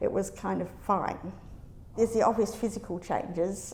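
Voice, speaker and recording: A woman speaks at a medium pitch with a dark, mellow tone and some vocal fry. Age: 60s. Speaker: academic. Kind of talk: interview answer.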